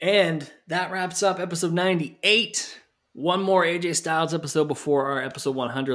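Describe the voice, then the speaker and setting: A plain, everyday voice moves at a fairly quick pace with ordinary pitch variation. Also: man. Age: 30s. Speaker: wrestling podcast host. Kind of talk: casual chat.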